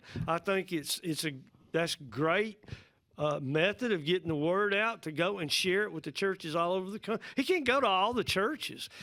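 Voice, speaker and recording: In a Southern US accent, a high-pitched man with a bright, sharp tone projects a raised voice at a moderate pace with lively intonation, in a very clean recording with a silent background. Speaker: pastor. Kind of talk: casual chat.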